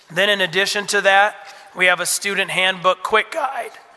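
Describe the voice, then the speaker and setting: A man uses a raised, projected voice at a high pitch. Noticeable background noise sits behind him. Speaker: school administrator. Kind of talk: orientation talk to parents.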